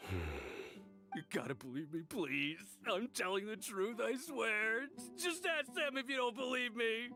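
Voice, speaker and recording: Over clear music in the background, a man uses a high-pitched, put-on character voice at a fairly slow pace. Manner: pleading, frightened.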